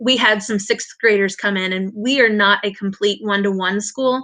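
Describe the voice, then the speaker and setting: With an American accent, a woman talks in a bright, sharp tone at a medium pitch. Her pace is moderate, and the background is quiet. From Indiana, US Midwest. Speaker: elementary school teacher. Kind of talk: online conference presentation. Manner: halting, many fillers.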